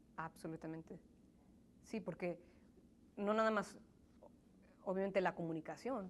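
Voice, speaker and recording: A woman's medium-pitched voice at a moderate pace with fairly even intonation. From grew up in US in Mexican home, born in Pachuca, Hidalgo. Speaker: interviewee, immigrant professional. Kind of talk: interview. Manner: halting, many repetitions.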